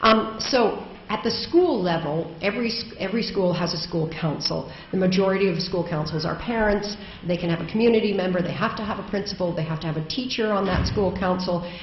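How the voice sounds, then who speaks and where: Amid noticeable background noise and audible room echo, a woman speaks fairly quickly at a medium pitch with ordinary pitch variation. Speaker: education advocate, keynote speaker. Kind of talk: conference keynote speech. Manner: loud; hesitant, many ums.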